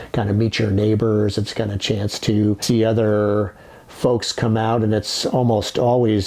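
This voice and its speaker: A man's fairly low voice with an American accent at a moderate pace, over noticeable background noise. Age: 60s. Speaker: ice boat sailor. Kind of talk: documentary interview.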